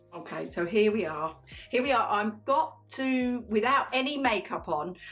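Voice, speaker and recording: Music plays in the background. Over it, a woman speaks with lively intonation. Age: 60s. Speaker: beauty vlogger. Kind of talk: makeup tutorial. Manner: chatty, warm.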